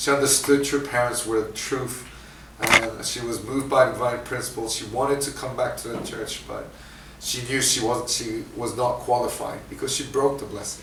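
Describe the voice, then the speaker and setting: The speaker has an American accent and a monotone, flat intonation at a moderate pace. Audible room echo and noticeable background noise fill the recording. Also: man, medium pitch for a man. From international upbringing, Asia, Africa, Scotland, US, Japan, Australia. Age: 40s. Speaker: guest speaker. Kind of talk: sermon testimony. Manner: halting, many fillers.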